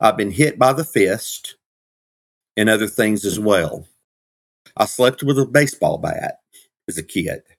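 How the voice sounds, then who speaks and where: A man speaks at a medium pitch. He leaves long, frequent pauses. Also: ordinary pitch variation, fairly slow pace. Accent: Southern US. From US South, Georgia. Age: 50s. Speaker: minister and former pro wrestler. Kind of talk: casual interview. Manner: animated.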